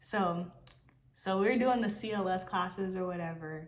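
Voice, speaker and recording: There is audible room echo around this woman's voice. Her pitch sits in the medium range and her tone is animated. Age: 20s. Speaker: army combat medic. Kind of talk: storytime.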